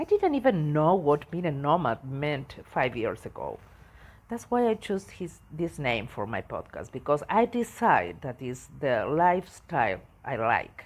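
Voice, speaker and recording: In an Argentine accent, a woman speaks fairly slowly at a very deep, low pitch with very wide pitch swings, on a very clean recording with a silent background. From Argentina. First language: Spanish. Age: 60s. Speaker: travel podcaster. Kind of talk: personal storytelling podcast. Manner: halting, with hesitations.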